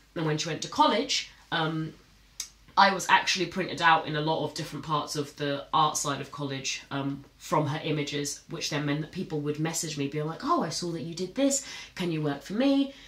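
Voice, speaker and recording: A woman's very deep, low voice at a fairly quick pace, with ordinary pitch variation and audible room echo. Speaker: content creator. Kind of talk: casual vlog chat. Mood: relaxed, reflective. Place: studio.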